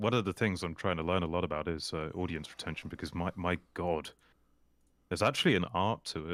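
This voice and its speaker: Very deep and low, a man's voice carries a slight RP British accent. His intonation stays fairly even at a fairly quick pace. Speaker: YouTuber. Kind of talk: casual chat.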